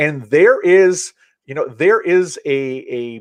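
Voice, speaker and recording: At a fairly slow pace, a normal speaking voice moves with lively intonation, recorded dry and close with no echo. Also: man. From Central Maine, USA. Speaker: author and public speaker. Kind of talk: podcast interview answer.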